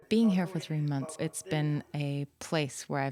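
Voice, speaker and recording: Noticeable background noise sits behind a woman's voice. She speaks with a very deep, low pitch and ordinary pitch variation. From Spain. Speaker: visual artist. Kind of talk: interview about her art project. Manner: casual with fillers.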